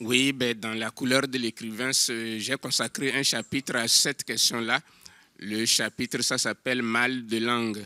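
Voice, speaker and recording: A man talks at a fairly slow pace in a monotone, flat intonation with a bright, sharp tone. The sound is dry and close, with no echo. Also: medium pitch for a man, very clean recording, silent background. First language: an African language (speaking French). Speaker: novelist. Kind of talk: panel discussion.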